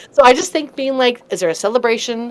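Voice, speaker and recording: A woman talks at a very fast pace. Noticeable background noise sits behind her. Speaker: improviser and comedic host. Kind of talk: interview. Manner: slurred, high energy.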